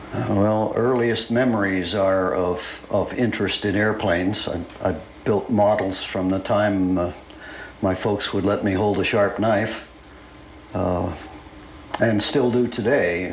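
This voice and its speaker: An American accent at a fairly slow pace, with long, frequent pauses and fairly even intonation, plus noticeable background noise and audible room echo. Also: man, fairly low pitch for a man. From Pittsburgh, Pennsylvania, US. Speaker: retired fighter pilot. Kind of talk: oral history interview. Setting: recorded interview at an air show. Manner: hesitant, with frequent fillers.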